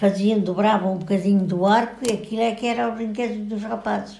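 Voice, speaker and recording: A woman speaks with a European Portuguese accent. Her pitch sits fairly high. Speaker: grandmother recounting old village life. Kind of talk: interview answer.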